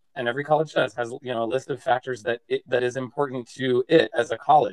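Fairly quick in pace, a man speaks in a normal speaking voice. His pitch is medium and his intonation fairly even. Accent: American. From Massachusetts. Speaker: arts education vice president, former admissions officer. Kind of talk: interview conversation.

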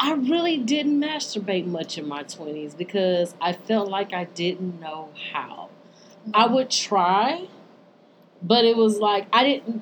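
With very wide pitch swings, a woman talks at a fairly slow pace while noticeable background noise continues. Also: medium pitch for a woman. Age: 30s. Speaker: podcast and radio co-host. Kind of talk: casual chat. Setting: radio studio.

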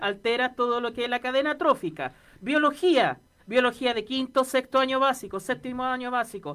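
A woman keeps a moderate tempo, her pitch moving in an ordinary way. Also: very clean recording, silent background. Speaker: radio co-host, teacher. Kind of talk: casual chat.

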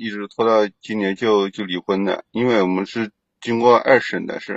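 A man talks at medium pitch. His pace is fairly slow. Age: 30s. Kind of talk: phone-in advice call. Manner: halting.

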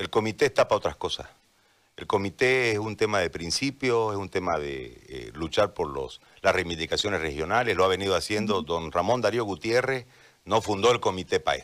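A man speaks at a fairly quick pace with lively intonation. His fairly low voice carries vocal fry. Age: 40s. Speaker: journalist turned political candidate. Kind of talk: radio interview. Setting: radio simulcast, remote connection.

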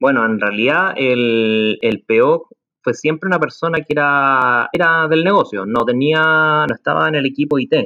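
A man with a normal speaking voice talks at a fairly slow pace. His pitch is fairly high, with ordinary pitch variation. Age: 30s. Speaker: project consultant, former business analyst. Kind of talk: interview conversation.

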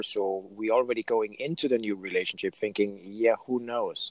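Recorded with a dry, close sound and no echo, a man has an ordinary speaking voice at a medium pitch and moderate pace. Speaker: podcast host. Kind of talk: interview. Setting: video call.

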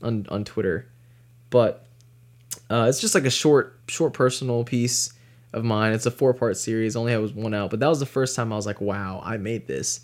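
Speaking in an ordinary speaking voice, a man with an American accent keeps a medium pitch, a moderate pace and ordinary pitch variation. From North Carolina, US South. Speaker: freelance cinematographer. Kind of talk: casual interview chat.

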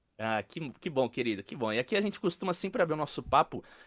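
Speaking at a very fast pace, a man uses lively intonation and an animated tone, recorded with a dry, close sound and no echo. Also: very clean recording, silent background. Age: 20s. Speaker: podcast host, percussionist. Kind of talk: interview.

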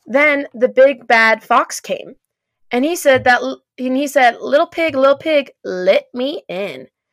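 Dry and close with no echo, a woman's animated voice moves at a fairly slow pace. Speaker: podcast host. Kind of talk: casual chat, reading aloud from old books. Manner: animated, laughs often.

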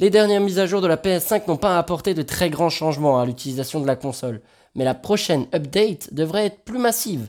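A high-pitched man's voice with lively intonation and a fairly quick pace, on a very clean recording with a silent background. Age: 20s. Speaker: video game news podcaster. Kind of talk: news chronicle, partly read.

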